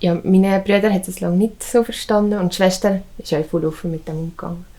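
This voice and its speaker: A woman at medium pitch with a Valais accent, a dark, mellow tone and a fairly quick pace. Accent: Valais Swiss German. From Mund, Valais, Switzerland. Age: 20s. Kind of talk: interview answer.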